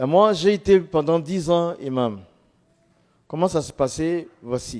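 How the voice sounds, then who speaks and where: Very slow in pace, a man speaks at high pitch with lively intonation. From Ivory Coast. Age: 60s. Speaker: former imam giving testimony. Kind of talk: testimony.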